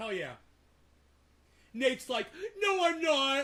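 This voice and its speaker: A man speaks in an animated tone, his voice raised and projected. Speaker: livestreamer. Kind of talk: casual livestream chat. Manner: loud.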